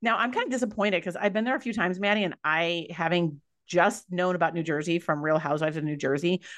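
With an American accent, the speaker talks at a very fast pace with hardly any pauses. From Minnesota (Minneapolis suburb). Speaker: podcast co-host. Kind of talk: casual chat.

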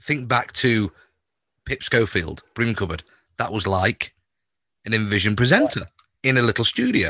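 In a northern English accent, a man speaks at medium pitch and a moderate pace, with ordinary pitch variation and a bright, sharp tone. The sound is dry and close with no echo, long, frequent pauses break up his speech, and the background is quiet. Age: 40s. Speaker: podcast host and music radio presenter. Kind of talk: casual interview. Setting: video call.

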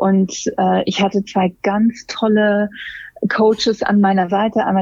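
A woman's somewhat breathy voice at a very slow pace. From Germany, Hamburg. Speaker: make-up artist and hairstylist. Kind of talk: interview. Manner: frequent hesitations (ähm, äh).

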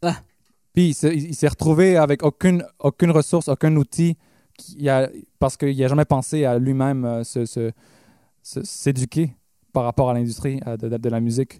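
Speaking in a Quebec accent, a man with a fairly high pitch and a dark, mellow tone talks at a moderate pace with ordinary pitch variation and long, frequent pauses, in a dry, close sound with no echo. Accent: Québécois French. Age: 20s. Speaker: pop/rock musician. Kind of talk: casual interview. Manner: halting.

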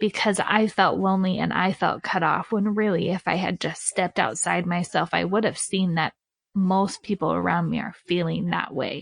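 A woman's medium-pitched voice with vocal fry and an American accent comes at a moderate pace, the sound dry and close with no echo. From western US. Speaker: podcast host. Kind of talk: interview. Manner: animated.

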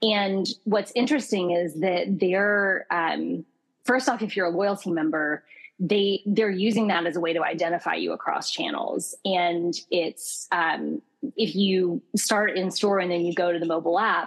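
An unremarkable speaking voice talks with an American accent and ordinary pitch variation. The pace is fairly slow. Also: woman, medium pitch for a woman. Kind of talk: casual interview chat.

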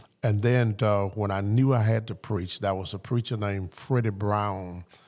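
A man with a Southern US accent speaks at a fairly slow pace, his fairly low pitch carrying a dark, mellow tone and fairly even intonation. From US South. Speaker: pastor. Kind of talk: interview.

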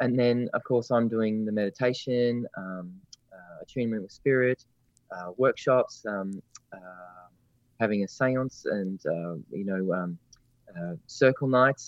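This man has an Australian accent and a medium pitch. He speaks at a fairly slow pace with ordinary pitch variation. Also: big swings in loudness. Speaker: spiritual medium and teacher. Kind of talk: casual interview chat. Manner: halting, many fillers. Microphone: line cutting out.

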